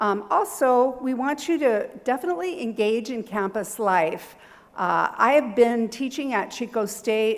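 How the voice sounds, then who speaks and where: A woman speaks with a Californian accent. Her pace is fairly slow. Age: 60s. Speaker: university professor. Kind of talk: seminar presentation. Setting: seminar hall with audience.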